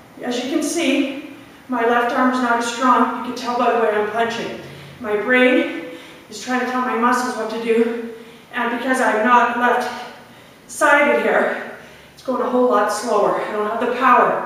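A woman speaks at a fairly slow pace in a high pitch, with strong echo filling the room. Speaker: fitness instructor. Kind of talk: live guided workout, barking interval cues and countdowns. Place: gym. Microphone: camera far.

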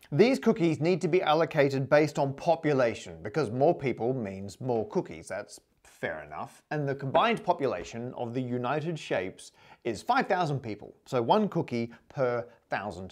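Against a quiet background, a man with vocal fry speaks at a moderate pace with very wide pitch swings. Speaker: presenter. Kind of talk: lecture. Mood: playful explanatory. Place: home room. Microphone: lapel.

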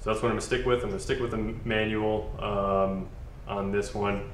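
A man with a fairly low voice speaks at a fairly quick pace in a flat monotone, with audible room echo and light background noise. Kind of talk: tutorial. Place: garage.

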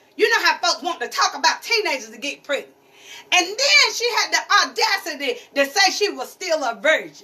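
A woman's raised, projected voice sits at an extremely high pitch, moving in very wide swings at a moderate pace. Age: 50s. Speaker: pastor's wife and preacher; pastor's wife, preacher. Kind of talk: sermon. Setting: church. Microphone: phone near.

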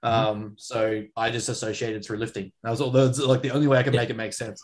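Speaking at a very fast pace, a man with an Australian accent keeps his intonation fairly even. The background is quiet. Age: 20s. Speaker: strength coach and podcast co-host; strength coach, podcast co-host. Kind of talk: casual chat. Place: home room. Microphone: video call.

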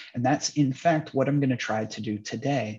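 The background is quiet. A man speaks in a somewhat breathy voice with fairly even intonation. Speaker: instructor. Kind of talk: lecture. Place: home room. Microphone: webcam.

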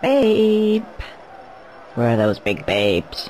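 The speaker uses a put-on character voice. Background noise is clearly heard. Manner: cheeky, sarcastic.

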